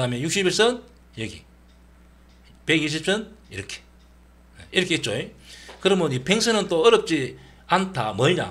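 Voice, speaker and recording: Speaking in a Gyeongsang accent at a high pitch, a man moves at a moderate pace with very wide pitch swings and long, frequent pauses. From Gyeongsang region, Korea. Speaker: stock trading educator. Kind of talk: tutorial. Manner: casual, with many fillers.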